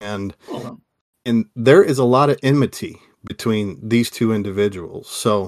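A man with a normal speaking voice, ordinary pitch variation and a moderate pace, the sound dry and close with no echo. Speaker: podcast host. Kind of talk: casual chat.

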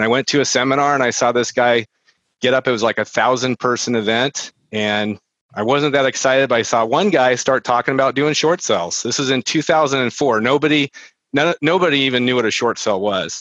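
This man has an ordinary speaking voice at a medium pitch, with ordinary pitch variation, a fairly quick pace and very even loudness, in a dry, close sound with no echo. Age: 40s. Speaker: real estate marketing entrepreneur. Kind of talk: casual interview chat. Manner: conversational with filler words.

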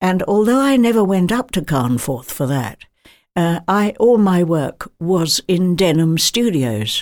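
A woman in an RP accent at medium pitch, with very wide pitch swings and a fairly slow pace. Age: 90s. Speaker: retired film actress. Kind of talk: interview. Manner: halting.

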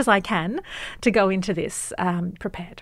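The recording is very clean with a silent background, and the speaker has an Australian accent. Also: woman. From Australia, Western Sydney. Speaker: journalist and author. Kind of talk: interview.

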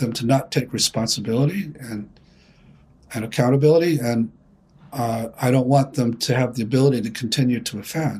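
Somewhat breathy, a man speaks at a moderate pace. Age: 70s. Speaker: therapist and psychotherapy founder. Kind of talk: interview discussion.

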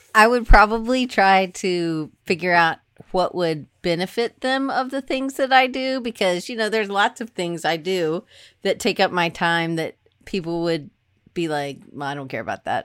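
In a Southern US accent, a woman speaks at medium pitch with very wide pitch swings and big swings in loudness. Her moderate pace comes through a dry, close sound with no echo. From US South, Atlanta. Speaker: design professor. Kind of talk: casual chat. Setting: video call.

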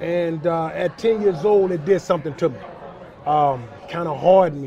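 A man speaks at a high pitch and a moderate pace with ordinary pitch variation, crowd noise audible behind him. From West Charlotte, North Carolina. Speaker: former NFL linebacker. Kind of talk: interview.

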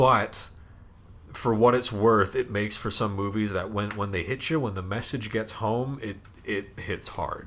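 A man talks at a fairly slow pace, his pitch fairly low and his intonation fairly even. He has an ordinary speaking voice. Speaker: college radio host. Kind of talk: casual chat. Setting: recording from his room.

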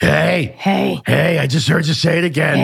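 Putting on a character voice, a man speaks raspily at a fairly high pitch and a fairly slow pace. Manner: silly, playful.

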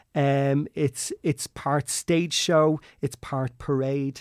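Speaking very slowly in an Irish accent, a man with a fairly high pitch and fairly even intonation is captured in a very clean, dry, close recording with no echo and a silent background. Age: 30s. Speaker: travel agent. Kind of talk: casual chat.

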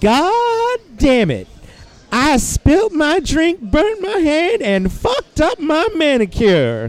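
In a put-on character voice with a Southern US accent, someone speaks very slowly in a high, shrill tone that swings very widely in pitch. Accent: southern drawl. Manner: indignant, shrill, outraged.

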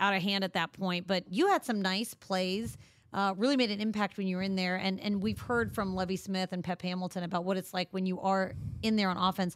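In an ordinary speaking voice, a woman talks at a fairly quick pace and a medium pitch. The recording is very clean, with a silent background. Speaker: radio co-host interviewer. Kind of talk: radio interview.

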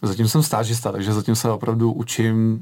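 The speaker is a man with a fairly low voice. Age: 20s. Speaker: retired competitive swimmer. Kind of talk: radio interview. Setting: radio studio.

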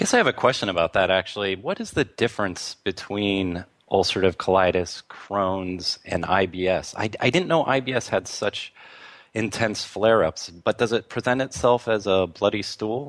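In a normal speaking voice, a man talks at a moderate pace with a fairly low pitch and ordinary pitch variation, the sound dry and close with no echo against a quiet background. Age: 40s. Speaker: radio host. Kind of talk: interview.

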